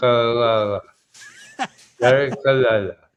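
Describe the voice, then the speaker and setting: A put-on character voice, mumbling at a fairly slow pace. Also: man, medium pitch for a man. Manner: mumbling, mushy, as if mouth is full.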